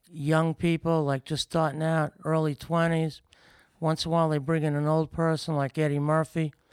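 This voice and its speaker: A man with an American accent, fairly high-pitched, at a moderate pace with fairly even intonation, in a dry, close sound with no echo and a very clean, silent background. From New York City, Brooklyn. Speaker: boxing promoter. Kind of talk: casual chat. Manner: rambling nonstop.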